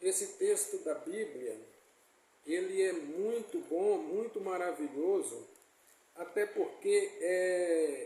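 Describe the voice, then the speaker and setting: A man speaks at a very slow pace amid audible room echo. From Brazil, Bahia (Itabuna/Ilhéus area). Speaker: preacher. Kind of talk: sermon. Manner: halting.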